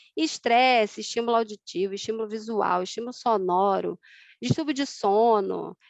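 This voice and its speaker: A woman speaks with lively intonation. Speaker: osteopathy lecturer. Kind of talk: online lecture. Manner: fast.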